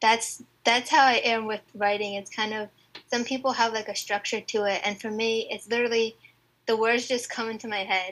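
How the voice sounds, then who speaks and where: With monotone, flat intonation, a woman talks at a moderate pace in a fairly high pitch. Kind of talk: casual interview. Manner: shy, soft-spoken.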